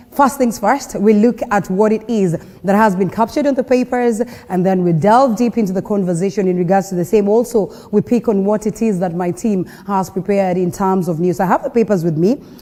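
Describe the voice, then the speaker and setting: Against noticeable background noise, a woman with a Kenyan accent talks at a fairly quick pace and medium pitch with ordinary pitch variation. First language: Kenyan local language. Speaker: TV morning show host. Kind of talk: news and talk show presenting. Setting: TV studio on location in Mombasa.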